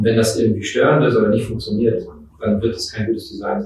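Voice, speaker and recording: The recording has audible room echo and noticeable background noise. A man is speaking. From Mecklenburg, northern Germany (Schwerin). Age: 30s. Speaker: designer and business owner. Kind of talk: interview. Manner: hesitant, many fillers.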